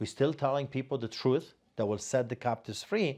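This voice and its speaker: With a Polish accent, a man talks at a medium pitch and with ordinary pitch variation against a quiet background. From Poland. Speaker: pastor. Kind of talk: interview.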